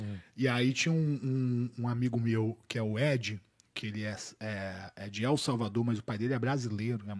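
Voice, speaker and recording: A man with a plain, everyday voice, medium pitch, fairly even intonation and a moderate pace, on a very clean recording with a silent background. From Boa Vista, Roraima, northern Brazil. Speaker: jiu-jitsu academy director. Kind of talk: casual chat.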